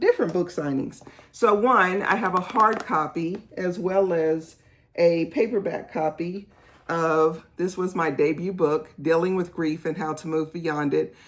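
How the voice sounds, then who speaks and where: Speaking at a fairly slow pace, the woman has a fairly low pitch. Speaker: author and pastor. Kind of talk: casual vlog tutorial.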